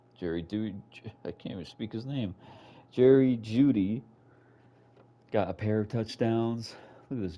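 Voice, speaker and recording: This man has a dark, mellow tone and a fairly low pitch with ordinary pitch variation. He speaks at a fairly slow pace. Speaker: video game streamer. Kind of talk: gameplay commentary. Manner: slurred speech.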